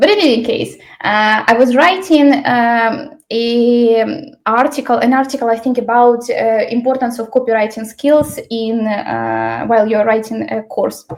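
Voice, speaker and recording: Her high-pitched voice moves at a fairly slow pace, the woman's pitch varying in an ordinary way. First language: Ukrainian. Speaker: L&D trainer. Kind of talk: online workshop presentation. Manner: many fillers and hesitations.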